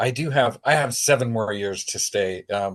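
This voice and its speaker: The background is quiet as a man with an American accent speaks. He keeps a moderate pace and ordinary pitch variation. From Oregon, US. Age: 60s. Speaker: university professor. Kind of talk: interview answers. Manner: casual with fillers and repetitions.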